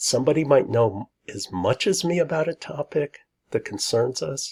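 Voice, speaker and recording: A quiet voice at a moderate pace comes through in a dry, close sound with no echo and a very clean recording with a silent background. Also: man. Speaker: lecturer. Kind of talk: lecture.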